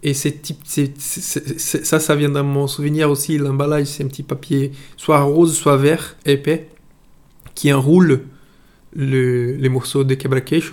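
Using a Portuguese accent, a man with a fairly high pitch speaks at a very slow pace with monotone, flat intonation. His pauses are long and frequent. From Brazil, Itabuna. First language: Portuguese (speaking French). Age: 30s. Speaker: interviewee sharing food memories. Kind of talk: personal storytelling. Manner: halting, many hesitations.

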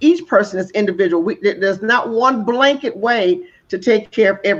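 Using an unremarkable speaking voice, a woman talks at a fairly quick pace with lively intonation and a fairly high pitch. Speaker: co-host, home care business owner. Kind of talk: casual chat.

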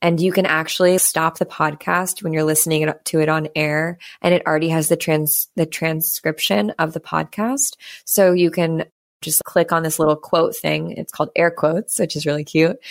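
On a very clean recording with a silent background, a woman speaks at a moderate pace with a fairly low pitch and fairly even intonation. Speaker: wellness business founder. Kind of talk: casual chat. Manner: loud.

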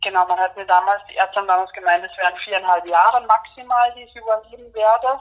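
Talking very fast, a woman at a medium pitch keeps her intonation fairly even while her loudness swings widely. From Austria. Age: 30s. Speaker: HIV patient and activist. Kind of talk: interview. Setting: phone call. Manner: hesitant, many fillers.

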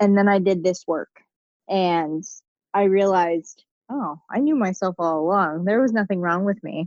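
Speaking at a moderate pace, a woman has a plain, everyday voice of medium pitch and ordinary pitch variation, with a dry, close sound and no echo. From Pittsburgh, US. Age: 20s. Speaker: guest, new mother. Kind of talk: casual interview. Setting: remote call.

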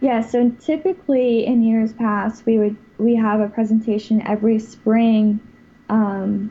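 A fairly high, somewhat breathy woman's voice with an American accent, monotone, flat intonation and a fairly slow pace. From US South, Florida (West Palm Beach). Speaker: college water ski team president. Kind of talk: interview.

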